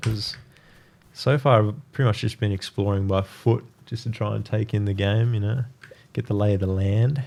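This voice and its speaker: The speech moves at a fairly quick pace. Pitch varies in an ordinary way. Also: man. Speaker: gaming youtuber. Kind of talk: gameplay commentary. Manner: casual, many fillers; talking loudly.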